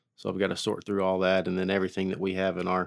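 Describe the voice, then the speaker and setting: A man with an American accent speaks with a very deep, low pitch and monotone, flat intonation, on a very clean recording with a silent background and a dry, close sound with no echo. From Oklahoma (Haskell). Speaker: civil engineer and cattle rancher. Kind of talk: interview.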